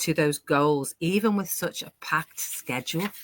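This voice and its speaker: Dry and close with no echo, a woman's bright, sharp voice carries a British accent at a fairly slow pace. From UK. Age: 60s. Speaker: online business owner hosting a panel. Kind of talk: live panel discussion. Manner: animated.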